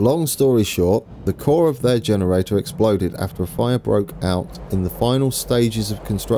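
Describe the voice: Here we hear plain reading aloud.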